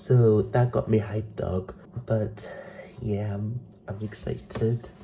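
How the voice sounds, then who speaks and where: Through noticeable background noise, a man of medium pitch talks at a fairly slow pace with lively intonation. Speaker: vlogger. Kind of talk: casual vlog chat. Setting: at home.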